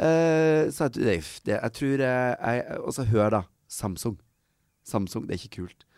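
A man at medium pitch, very slow pace and lively intonation. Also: very clean recording, silent background. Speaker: podcast co-host. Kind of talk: casual chat. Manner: coughing.

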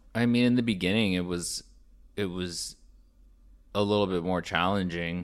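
The speaker talks at a moderate pace with an American accent and fairly even intonation. Long pauses come often. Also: man, very deep, low pitch for a man. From Florida, Orlando. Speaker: founder of a lifestyle apparel brand. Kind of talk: casual interview chat. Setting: studio.

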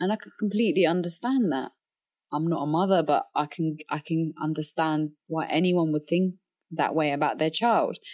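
In a London accent, a woman speaks at a moderate pace and a fairly low pitch with ordinary pitch variation. The recording is very clean with a silent background. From London, England (Somali refugee family). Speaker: professional boxer. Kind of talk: casual interview conversation.

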